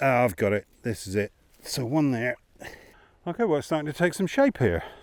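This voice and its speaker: In a dry, close recording with no echo, a man of medium pitch speaks at a fairly quick pace with very wide pitch swings. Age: 60s. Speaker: camping vlogger. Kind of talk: unboxing and setup tutorial. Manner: casual, thinking aloud.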